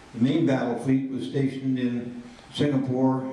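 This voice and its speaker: Both noticeable background noise and audible room echo can be heard in this recording. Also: man. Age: 80s+. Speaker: reunion speaker on naval history. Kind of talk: speech to veterans with slides.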